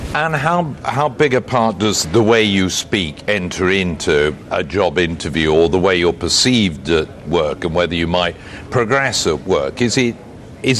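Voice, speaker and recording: Over noticeable background noise, a man with a fairly low voice swings his pitch very widely. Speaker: TV news presenter. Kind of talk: TV news presenting.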